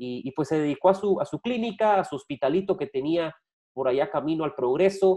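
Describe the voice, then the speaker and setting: Against a quiet background, a man's dark, mellow voice moves with lively intonation. He speaks at a moderate pace. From Guatemala. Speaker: sports journalist and podcast host; sports journalist, podcast host. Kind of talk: casual sports talk show. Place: home room. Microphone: video call.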